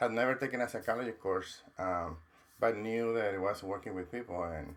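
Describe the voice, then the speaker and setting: A man with a Mexican accent talks at a fairly quick pace, his fairly low voice showing ordinary pitch variation. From Mexico. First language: Spanish. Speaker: counselor and professor. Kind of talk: interview.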